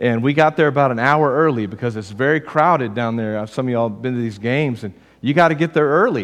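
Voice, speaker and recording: A man with a Texas accent talks very fast with ordinary pitch variation against a quiet background. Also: medium pitch for a man. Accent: Southern US (Texas). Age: 40s. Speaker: pastor. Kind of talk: sermon. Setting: church.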